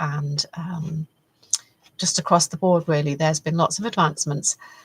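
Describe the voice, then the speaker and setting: A woman speaks with fairly low pitch and fairly even intonation, somewhat breathy. The sound is dry and close, with no echo. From UK, partly raised in Canada. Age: 60s. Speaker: faith-based personal development vlogger. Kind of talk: reflective monologue. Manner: hesitant, many fillers.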